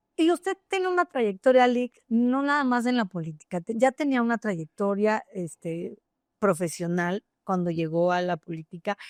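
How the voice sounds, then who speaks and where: The sound is dry and close with no echo as a woman speaks at a medium pitch with very wide pitch swings. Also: moderate pace. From Querétaro, Mexico. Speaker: interviewer. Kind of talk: interview.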